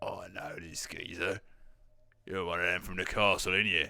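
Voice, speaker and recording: A man's raspy, put-on character voice, very deep and low in pitch, at a moderate pace. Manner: gruff, menacing.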